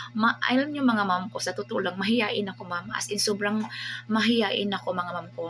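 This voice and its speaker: A woman's animated, medium-pitched voice with lively intonation at a fairly quick pace, music playing in the background. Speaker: online seller and livestreamer. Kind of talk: casual vlog talk to viewers.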